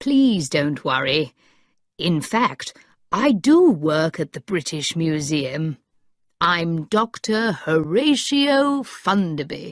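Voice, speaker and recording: A put-on character voice sits at a middle pitch and moves at a very slow pace. The recording is very clean, with a silent background. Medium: read story. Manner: polite, kindly.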